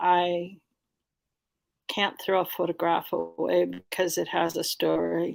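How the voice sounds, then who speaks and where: A woman is talking here. Her accent is American. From US Midwest (La Crosse, Wisconsin). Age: 60s. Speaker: public school teacher and activist. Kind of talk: casual interview. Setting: video call from her bedroom.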